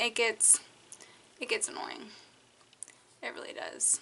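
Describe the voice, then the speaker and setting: Bright and sharp in tone, a woman's voice comes through. She talks at a fairly slow pace. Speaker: vlogger. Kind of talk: storytime vlog. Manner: casual, filler-heavy.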